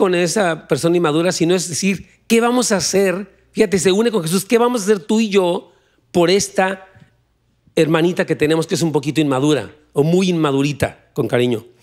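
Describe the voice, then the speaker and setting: Loudness stays very even while the speech moves at a moderate pace with lively intonation. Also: man, quiet background. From Mexico. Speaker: pastor; pastor preaching. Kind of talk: sermon. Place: church. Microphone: handheld.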